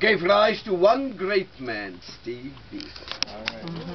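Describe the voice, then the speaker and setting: Against noticeable background noise, a man speaks in a high pitch. His pitch swings very widely. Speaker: tour guide. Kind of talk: guided tour talk to visitors. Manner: engaging storyteller.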